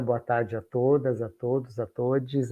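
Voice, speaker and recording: A man's medium-pitched voice, monotone and flat, at a fairly slow pace. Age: 60s. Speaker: diversity program coordinator. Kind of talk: panel discussion.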